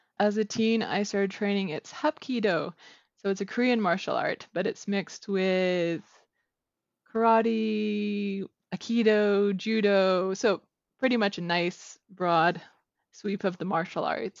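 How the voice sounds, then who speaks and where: Here a woman with a Canadian accent has an ordinary speaking voice. Her pitch is medium, with ordinary pitch variation. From Southern Alberta, Canada. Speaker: novelist. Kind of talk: interview. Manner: laughs often.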